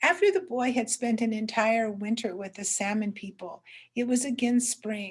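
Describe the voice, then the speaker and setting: A woman with an American accent speaks at a fairly slow pace in a fairly high, somewhat breathy voice. Her pitch varies in an ordinary way. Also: quiet background. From southern Oregon coast, USA. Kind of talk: traditional story telling.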